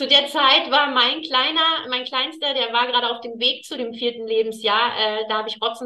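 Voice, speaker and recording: Her tone is bright and sharp, and her pitch is high for a woman. She speaks at a fairly slow pace with fairly even intonation. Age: 30s. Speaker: client of an energy healer. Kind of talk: casual chat.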